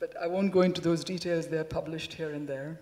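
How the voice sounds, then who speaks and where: Speaking at a fairly quick pace, a woman talks with a Telugu accent. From India. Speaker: professor. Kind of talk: lecture. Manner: conversational.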